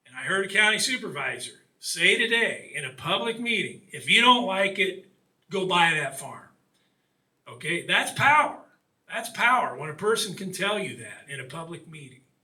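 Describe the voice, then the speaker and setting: A man's raised, projected voice, high in pitch, with lively intonation, big swings in loudness, a moderate pace and audible room echo. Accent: Midwestern US. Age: 60s. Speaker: author and water quality advocate. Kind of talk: public talk.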